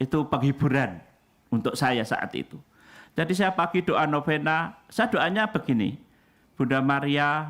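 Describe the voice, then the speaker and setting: A man with an unremarkable speaking voice, fairly high pitch and a fairly slow pace. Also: very clean recording, silent background. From Indonesia, Central Java. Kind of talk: sermon.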